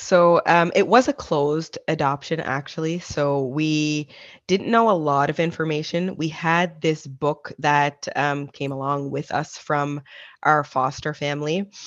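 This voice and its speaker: In a Maritime Canadian accent, a woman speaks at a fairly slow pace with a very deep, low pitch and fairly even intonation against a quiet background. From Nova Scotia, Canada. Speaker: adoptee sharing her story. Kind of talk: interview testimony.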